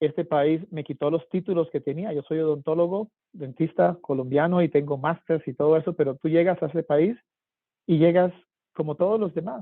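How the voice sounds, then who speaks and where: A man with a normal speaking voice, fairly high pitch, fairly even intonation and a moderate pace. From Colombia, Cartagena. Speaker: government official for minority businesses. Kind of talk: panel discussion.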